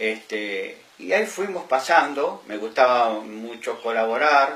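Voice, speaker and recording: Through noticeable background noise and audible room echo, a man of medium pitch speaks very slowly with lively intonation. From Argentina, Buenos Aires province countryside. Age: 70s. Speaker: former municipal delegate, local elder. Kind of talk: interview testimony. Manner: hesitant, many fillers.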